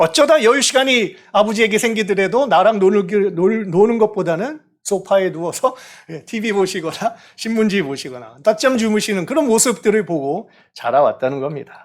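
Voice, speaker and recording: A man with a high voice speaks at a moderate pace. His intonation is lively and the recording very clean, with a silent background. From South Korea. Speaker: pastor. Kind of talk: sermon.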